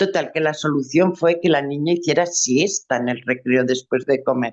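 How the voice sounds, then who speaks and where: This woman's very deep, low pitch shows ordinary variation as she talks at a moderate pace in a dry, close sound with no echo. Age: 70s. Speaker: workshop attendee. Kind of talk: personal testimony.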